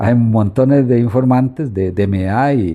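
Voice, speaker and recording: A man's dark, mellow tone at medium pitch, fairly slow, with ordinary pitch variation and a quiet background. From Costa Rica, Santo Domingo de Heredia. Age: 70s. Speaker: local elder and history informant. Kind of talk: interview about local history. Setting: at his home.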